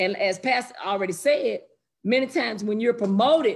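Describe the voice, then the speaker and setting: A woman at a moderate pace, fairly high in pitch with lively intonation, over a quiet background. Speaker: church member in Bible study. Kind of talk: Bible study discussion. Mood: earnest, reflective. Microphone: video call.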